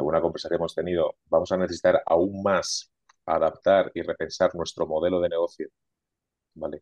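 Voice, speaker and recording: The sound is close and dry without any echo. A man talks at a fairly quick pace. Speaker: IT consulting manager. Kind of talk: casual interview.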